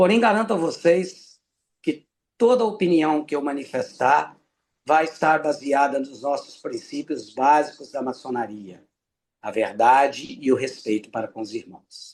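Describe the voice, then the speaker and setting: With very wide pitch swings, a man talks at a fairly slow pace in a fairly high pitch. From Brazil, Minas Gerais (Ipanema). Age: 60s. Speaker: freemason lecturer. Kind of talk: lecture.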